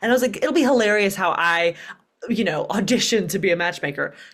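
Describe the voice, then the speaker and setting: A woman in a Southern US accent, her intonation lively. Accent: Southern twang. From US South, Birmingham, Alabama. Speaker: dating coach and author. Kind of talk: podcast interview.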